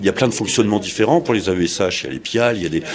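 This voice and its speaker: A man's ordinary pitch variation comes through despite noticeable background noise. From northern France, Aisne (Laon). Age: 60s. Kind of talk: interview.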